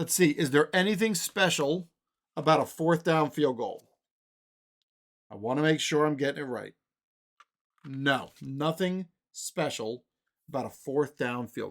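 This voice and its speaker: Recorded very cleanly against a silent background, a man with a fairly high pitch speaks at a fairly slow pace, with ordinary pitch variation, big swings in loudness, and long, frequent pauses. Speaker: tabletop sports game streamer. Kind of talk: tabletop game play-by-play. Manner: casual thinking aloud.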